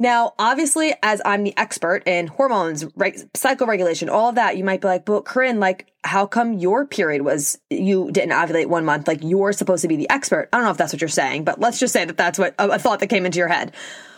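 Animated and fast-flowing, a woman with a New York accent speaks at a fairly quick pace with hardly any pauses, using a medium pitch with very wide pitch swings, the sound dry and close with no echo. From New York, Long Island. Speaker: podcast host, holistic nutritionist. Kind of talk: solo podcast monologue. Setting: recording alone in a closet.

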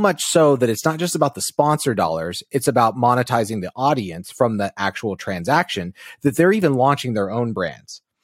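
A man's medium-pitched voice with very wide pitch swings at a moderate pace, dry and close with no echo, on a very clean recording over a silent background. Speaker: podcast co-host. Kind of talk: casual chat.

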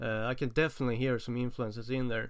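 A man talks fast in a medium pitch. His voice shows little pitch movement.

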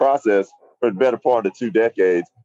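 A man's dark, mellow voice with an American accent and a dry, close sound with no echo. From US South, Nashville, Tennessee. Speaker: actor and voiceover actor, veteran. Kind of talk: live on-location report. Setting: outdoors on a city street. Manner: casual, filler-heavy.

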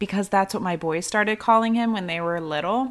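Pitch variation is ordinary in what is a normal speaking voice. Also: woman. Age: 30s. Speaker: podcast host and online fitness coach. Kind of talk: casual solo podcast monologue. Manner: chatty, informal.

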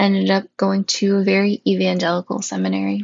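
The speaker is a woman with an Upper Midwest accent. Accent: Upper Midwest American. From northern Wisconsin, US Upper Midwest. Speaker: podcast host, seminary-trained chaplain candidate. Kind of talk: personal monologue podcast.

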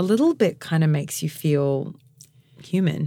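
Moderate-paced speech from a woman with an Australian accent. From Mount Gambier and Adelaide, South Australia. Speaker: podcast host. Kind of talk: casual interview chat.

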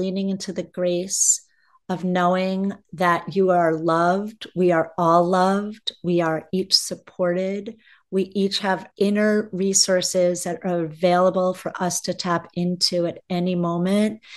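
A woman with an unremarkable speaking voice talks at a fairly slow pace and medium pitch. Her intonation is fairly even, and the background is quiet. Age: 50s. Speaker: spiritual mentor and educational consultant. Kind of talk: interview conversation.

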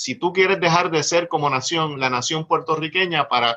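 A bright, sharp tone at a moderate pace, with lively intonation. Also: man. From Puerto Rico. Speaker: lawyer and party official. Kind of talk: political discussion.

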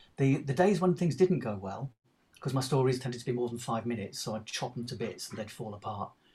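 A man talks very fast with lively intonation at a medium pitch. His tone is dark and mellow, and somewhat breathy. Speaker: actor. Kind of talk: casual interview chat.

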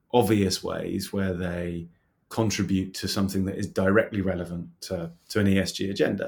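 In a very clean recording with a silent background, a man talks at a moderate pace with fairly low pitch and an ordinary speaking voice. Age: 40s. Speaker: fintech startup CEO and co-founder. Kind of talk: interview.

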